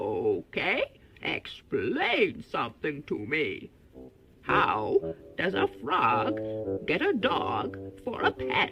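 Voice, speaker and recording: Someone speaks very slowly in a put-on character voice, leaving long, frequent pauses. Clear music plays in the background. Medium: read story.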